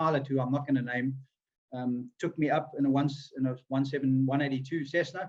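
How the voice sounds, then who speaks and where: A somewhat breathy man's voice, fairly high in pitch, at a very fast pace. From South Africa, KwaZulu-Natal (Pietermaritzburg). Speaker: radio presenter and skydiver. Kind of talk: interview. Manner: hesitant, with many fillers and restarts.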